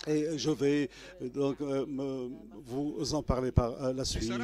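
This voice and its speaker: Very slow, monotone delivery with flat intonation and a dark, mellow tone. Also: man. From Tunisia, Gafsa mining basin. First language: Arabic (speaking French). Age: 60s. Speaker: trade unionist and former political prisoner. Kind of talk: testimony. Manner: halting, many hesitations; formal.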